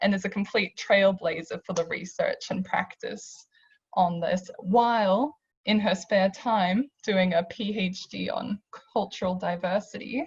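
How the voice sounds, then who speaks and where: A woman speaks with an Australian accent at a fairly slow pace. Her voice is somewhat breathy. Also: medium pitch for a woman, ordinary pitch variation. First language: not English. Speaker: university staff panelist. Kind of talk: panel discussion.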